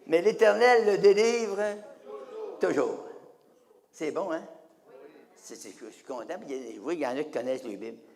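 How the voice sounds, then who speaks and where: A man at a moderate pace with audible room echo. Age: 90s. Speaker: evangelist. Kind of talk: sermon.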